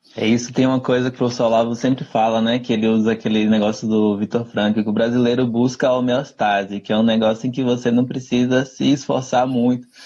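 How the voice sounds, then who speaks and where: A man rattles off words at a very fast pace with hardly any pauses, in a dark, mellow tone and monotone, flat intonation. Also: medium pitch for a man, very even loudness. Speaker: cultural commentator, live show host. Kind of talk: casual chat.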